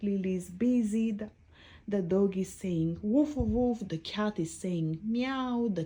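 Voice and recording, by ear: Natural-voiced reading aloud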